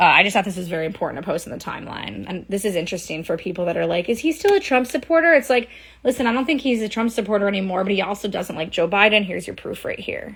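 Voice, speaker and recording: Very fast and with hardly any pauses, a woman speaks at a medium pitch. Her intonation is lively. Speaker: social media commentator. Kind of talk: live stream commentary. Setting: live stream.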